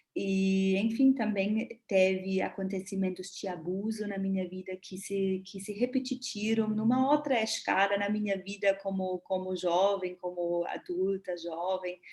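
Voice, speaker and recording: With hardly any pauses, a woman speaks in fairly even intonation over noticeable background noise. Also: medium pitch for a woman, fairly slow pace. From Germany. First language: German (speaking Portuguese). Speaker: body therapist. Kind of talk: live talk. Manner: halting.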